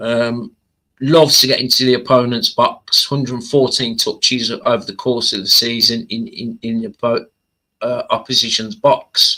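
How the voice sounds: Speaking at a fairly slow pace, a man has a medium pitch and little pitch movement. His tone is bright and sharp.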